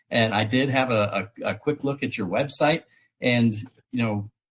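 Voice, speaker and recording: A man speaks with an American accent at a medium pitch. His pace is moderate, with ordinary pitch variation. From United States. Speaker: podcast host. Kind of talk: interview. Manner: hesitant, many fillers.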